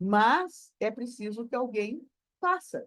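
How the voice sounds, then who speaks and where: A woman speaks with very wide pitch swings. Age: 70s. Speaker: spiritist speaker. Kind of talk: online panel discussion.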